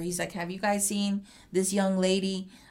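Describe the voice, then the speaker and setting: Speaking at a moderate speed, a woman talks with an American accent. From Houston, Texas. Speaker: community crime reporter. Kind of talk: interview. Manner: halting.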